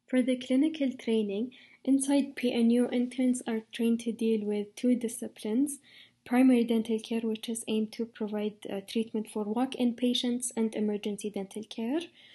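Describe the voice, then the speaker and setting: A woman's fairly high voice with a dark, mellow tone and an Arabic accent, at a moderate pace over a quiet background. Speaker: dental intern. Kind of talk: informational talk. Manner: hesitant with fillers.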